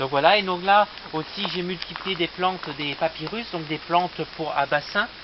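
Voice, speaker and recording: A man with a high pitch and ordinary pitch variation talks over noticeable background noise. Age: 20s. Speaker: aspiring plant nurseryman. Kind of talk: casual video presentation, guided tour. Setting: outdoors on a terrace. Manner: hesitant, many fillers.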